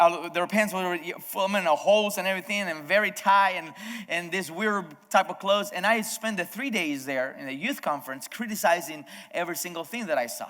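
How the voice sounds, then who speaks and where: A man with a Spanish accent speaks in a high voice. His pace is moderate and his pitch varies in an ordinary way. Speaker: pastor. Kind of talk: sermon. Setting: video sermon from abroad. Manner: halting, frequent self-corrections.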